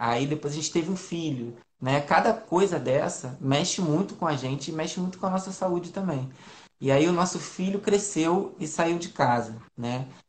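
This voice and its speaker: His delivery comes at a moderate pace. The pitch moves up and down in an ordinary way. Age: 40s. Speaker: family doctor. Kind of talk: health Q&A interview. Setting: Instagram live video call.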